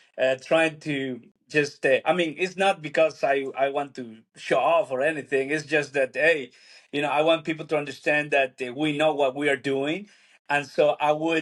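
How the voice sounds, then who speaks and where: A man with a Spanish accent speaks at a fairly slow pace and a fairly high pitch. His intonation is fairly even, and the background is quiet. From Peru. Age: 40s. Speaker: church planter, pastor. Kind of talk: casual interview conversation. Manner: halting, many fillers.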